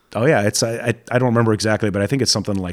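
The speech comes with an American accent and fairly even intonation. The recording is very clean, with a silent background, and sounds dry and close with no echo. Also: man. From Saudi Arabia (American expat compound). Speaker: radio co-host. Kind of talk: casual chat.

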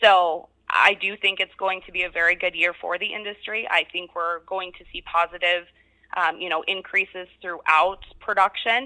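A woman with an American accent speaks at a medium pitch and a moderate pace. Her bright, sharp tone carries monotone, flat intonation in a dry, close sound with no echo. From Colorado. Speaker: recruiter at a staffing agency. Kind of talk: interview.

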